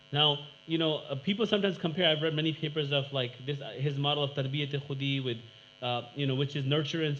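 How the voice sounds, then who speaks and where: Fairly quick speech from a man with a fairly high pitch, fairly even intonation and audible room echo. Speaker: academic panel speaker. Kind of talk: conference presentation. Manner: fast.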